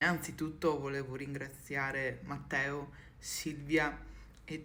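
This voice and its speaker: Audible room echo surrounds a woman's voice. She speaks very slowly in a flat monotone. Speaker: content creator. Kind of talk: personal video message. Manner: halting.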